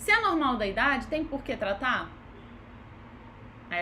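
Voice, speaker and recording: Her voice raised and projected, a woman speaks at a high pitch with very wide pitch swings and a fairly slow pace. Audible room echo fills the recording. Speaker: physiotherapist. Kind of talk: live online lecture. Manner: casual conversational.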